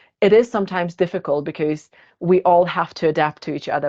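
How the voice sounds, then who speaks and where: Over a quiet background, a woman talks at a moderate pace with fairly even intonation. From Germany, born in Kazakhstan. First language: Russian. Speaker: podcast co-host, HR manager. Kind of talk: casual podcast discussion.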